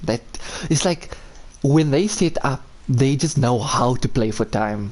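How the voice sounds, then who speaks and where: A man with a fairly high pitch speaks at a fairly slow pace with lively intonation and very even loudness, over noticeable background noise. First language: Afrikaans. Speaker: esports caster. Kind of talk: live commentary. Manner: animated.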